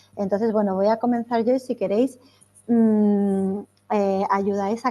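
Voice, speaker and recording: In a dark, mellow tone, a woman speaks fairly slowly at a fairly high pitch with monotone, flat intonation. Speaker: trainer / workshop facilitator. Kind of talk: online training workshop.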